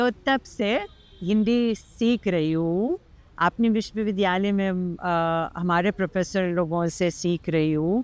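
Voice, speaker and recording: A woman's voice at medium pitch, with very even loudness and ordinary pitch variation. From Lithuania. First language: Lithuanian (speaking Hindi). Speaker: Hindi teacher and classical dancer. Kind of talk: interview conversation. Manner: halting, with fillers.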